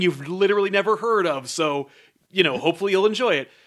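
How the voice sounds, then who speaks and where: With a bright, sharp tone and an American accent, a man projects a raised voice at a high pitch and a fairly quick pace. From United States. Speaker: podcast host. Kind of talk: casual chat. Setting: studio.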